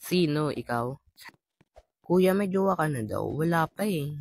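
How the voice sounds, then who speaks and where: Somewhat breathy and at a fairly slow pace, the voice has lively intonation and a dry, close sound with no echo. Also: man. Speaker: gaming streamer. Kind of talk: reading and answering viewer comments. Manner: playful, jokey.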